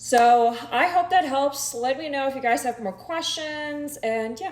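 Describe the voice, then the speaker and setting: Speaking at a fairly slow pace, a woman with a slight German accent uses a high pitch and ordinary pitch variation. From Germany. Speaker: social media creator. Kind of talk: casual chat.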